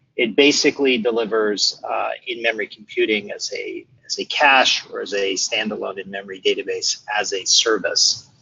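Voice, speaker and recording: With an American accent, a man speaks at a moderate pace. He goes with hardly any pauses. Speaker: product management head. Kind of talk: webinar presentation. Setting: online webinar. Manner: many filler words (uh).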